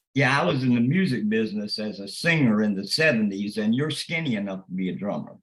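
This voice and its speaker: A man with a medium pitch talks at a very fast pace with hardly any pauses. His intonation is lively, and room echo is audible. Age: 70s. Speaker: businessman, webinar attendee. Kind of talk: casual question on webinar.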